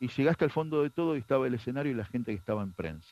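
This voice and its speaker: Very wide pitch swings in a man's medium-pitched speech. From Argentina, Buenos Aires area (Ciudadela, Morón). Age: 50s. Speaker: adoptee sharing testimony, pro-life activist. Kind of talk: testimony.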